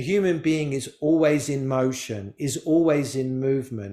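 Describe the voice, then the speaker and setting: A man with an English accent speaks at a fairly slow pace in a medium-pitched voice with a dark, mellow tone. The recording is very clean, with a silent background. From England. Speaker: spiritual teacher. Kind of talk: talk to a live group. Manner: animated.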